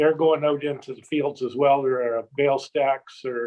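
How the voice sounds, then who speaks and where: With an unremarkable speaking voice, this man speaks at a fairly high pitch for a man, his intonation fairly even. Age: 60s. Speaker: shed hunting guide and video producer. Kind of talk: casual chat.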